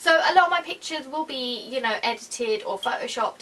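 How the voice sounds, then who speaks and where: A woman with a British accent speaks in a raised, projected voice at a fairly quick pace with lively intonation. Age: 20s. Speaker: YouTuber. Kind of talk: casual vlog talk.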